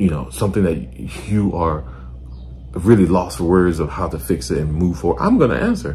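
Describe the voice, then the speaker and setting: A man's voice sits at a very deep, low pitch with lively intonation. Audible room echo and noticeable background noise surround it. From Nigeria. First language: a Nigerian language. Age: 20s. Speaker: commentator. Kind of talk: reaction commentary. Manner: blunt.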